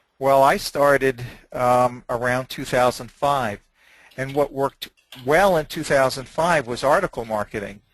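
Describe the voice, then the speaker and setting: With an unremarkable speaking voice, a man talks at a fairly slow pace and a medium pitch with ordinary pitch variation, the sound dry and close with no echo. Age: 60s. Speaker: website seller, hypnosis program producer. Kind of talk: webinar interview. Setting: webinar.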